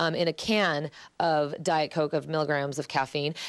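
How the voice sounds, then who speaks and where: A woman talks against a quiet background. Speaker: TV morning news reporter. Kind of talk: live TV interview. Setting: on location at a sleep center. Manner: speaking loud again after speaking softly.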